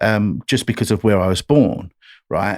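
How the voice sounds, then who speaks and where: A man with an English accent speaks in a fairly low voice, the sound dry and close with no echo. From England, London. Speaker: country singer-songwriter. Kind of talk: podcast interview.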